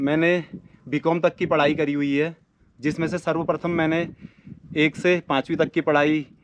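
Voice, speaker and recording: With light background noise, a man speaks at a fairly slow pace in a fairly high pitch, with monotone, flat intonation and long, frequent pauses. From Uttarakhand, Almora district (Kumaon hills); Uttarakhand, India. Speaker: YouTuber. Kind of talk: self-introduction to camera. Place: open country. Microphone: phone near.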